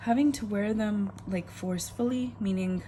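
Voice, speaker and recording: Dark and mellow in tone, a woman speaks with a somewhat breathy voice and lively intonation. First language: not English. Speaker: planner vlogger. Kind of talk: casual chat.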